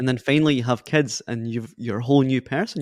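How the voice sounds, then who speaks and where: Talking at a very fast pace, a man with a medium pitch and ordinary pitch variation sounds dry and close with no echo over a quiet background. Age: 20s. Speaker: podcast host. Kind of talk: casual chat. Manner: halting.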